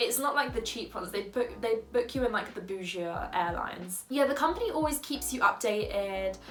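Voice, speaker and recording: A woman with a London accent talks at a fairly quick pace with lively intonation. There is noticeable background noise. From London, England. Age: 20s. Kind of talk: casual talk to camera.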